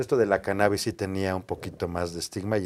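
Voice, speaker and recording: This man's voice sits very deep and low. The intonation holds fairly even throughout. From Mexico City. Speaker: lawyer. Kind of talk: interview.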